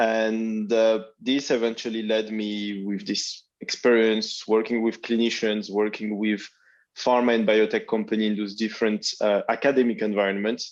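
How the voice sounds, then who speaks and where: Against a quiet background, the speaker uses a French accent with a monotone, flat intonation at a moderate pace. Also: man, medium pitch for a man. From France. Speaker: biotech founder. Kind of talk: panel discussion.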